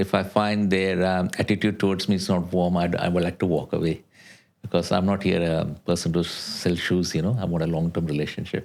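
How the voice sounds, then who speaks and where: In a very clean recording with a silent background, a man talks at a fairly quick pace with a very deep, low pitch and very even loudness. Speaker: insurance adviser. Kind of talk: podcast interview. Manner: fast; animated.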